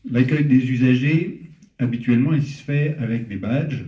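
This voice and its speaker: In a Parisian accent, a man with a medium pitch and a dark, mellow tone speaks somewhat breathily at a fairly slow pace with fairly even intonation, amid audible room echo. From Paris, France. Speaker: startup founder. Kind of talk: startup pitch. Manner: hesitant, many fillers.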